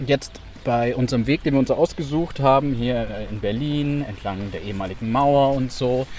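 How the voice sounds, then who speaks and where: A man's medium-pitched voice, varying in pitch in an ordinary way, comes through noticeable background noise. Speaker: journalist podcast co-host. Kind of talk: casual conversation. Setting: outdoors walking in rain.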